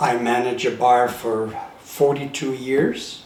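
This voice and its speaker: A man's medium-pitched voice with fairly even intonation, amid noticeable background noise and audible room echo. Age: 70s. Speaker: retired bartender. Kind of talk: interview.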